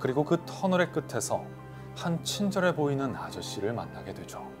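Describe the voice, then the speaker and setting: Background music accompanies the man as he talks at a fairly slow pace. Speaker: radio host and voice actor. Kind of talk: quiet late-night radio horror storytelling. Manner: quiet, soft-spoken.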